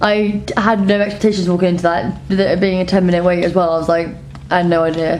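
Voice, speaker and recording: A woman's fairly low voice at a very fast pace with fairly even intonation, plus audible room echo and noticeable background noise. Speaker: travel vlogger. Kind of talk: casual chat. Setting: restaurant.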